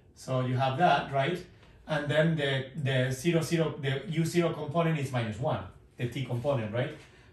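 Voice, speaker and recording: With audible room echo, a man speaks at a moderate pace in a fairly high pitch and with ordinary pitch variation. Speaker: physics professor. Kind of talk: lecture. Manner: conversational, hesitant with fillers. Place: classroom. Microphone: camera far.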